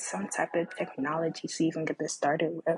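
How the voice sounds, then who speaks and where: Someone soft-spoken is heard in a dry, close sound with no echo. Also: woman. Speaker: podcast host. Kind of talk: casual monologue. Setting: home recording with background music.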